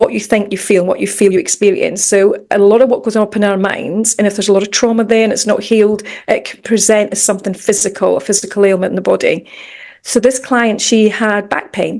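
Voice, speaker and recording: A woman speaks very fast with a Scottish accent, her medium pitch held in fairly even intonation. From Scotland, Edinburgh. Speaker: mindset coach and meditation teacher. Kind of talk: podcast interview.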